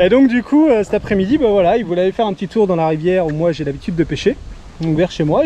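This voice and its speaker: Over light background noise, the speaker talks at a very fast pace with lively intonation in a dry sound with no echo. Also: man. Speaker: fishing vlogger. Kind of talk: casual vlog chat. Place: open country. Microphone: phone near.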